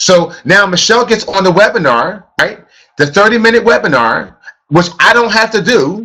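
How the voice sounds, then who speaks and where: In a raised, projected voice, a man with an American accent speaks at high pitch, his tone bright, sharp and animated and his intonation lively. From US, grew up in housing projects. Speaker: network marketing trainer. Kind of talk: motivational training session. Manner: fast.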